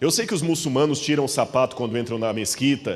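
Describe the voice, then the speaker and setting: In a Minas Gerais accent, a man with a fairly high pitch talks at a fairly quick pace with lively intonation. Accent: mineiro. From Minas Gerais, Brazil. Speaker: preacher. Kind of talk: sermon.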